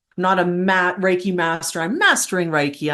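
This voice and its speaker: Against a quiet background, a woman speaks with a Canadian accent. Her pitch sits fairly low. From Canada, Alberta. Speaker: esoteric guide and paranormal educator. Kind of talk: interview conversation. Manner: animated.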